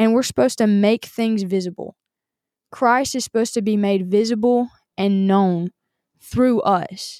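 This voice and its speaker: A woman with a Southern US accent speaks at a moderate pace in a fairly high pitch with ordinary pitch variation. Her tone is dark and mellow, and the sound is dry and close with no echo. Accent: Southern American. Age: 20s. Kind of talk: devotional monologue.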